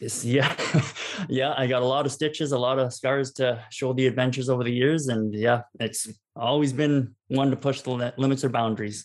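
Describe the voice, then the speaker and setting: A man speaks with a Canadian accent at a moderate pace. His intonation is monotone and flat. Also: medium pitch for a man. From Canada, southern Alberta. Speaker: travel photographer. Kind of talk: interview.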